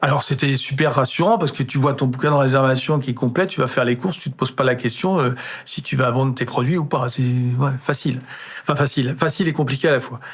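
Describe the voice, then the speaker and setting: Somewhat breathy and very fast, a man talks at a medium pitch with fairly even intonation. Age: 60s. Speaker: chef. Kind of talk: casual interview chat. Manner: halting, many repetitions and hesitations.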